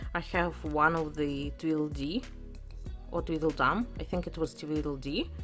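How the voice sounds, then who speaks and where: Music plays in the background as a woman talks. She speaks at a fairly slow pace with a Russian accent. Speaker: adult toy collector. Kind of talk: casual unboxing talk to camera.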